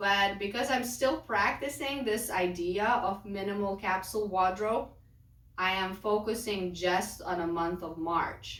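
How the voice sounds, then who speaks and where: A woman talks at a fairly slow pace, with a medium pitch and ordinary pitch variation. Audible room echo surrounds her voice. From Lithuania. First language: Lithuanian. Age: 30s. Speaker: lifestyle vlogger. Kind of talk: casual vlog talk.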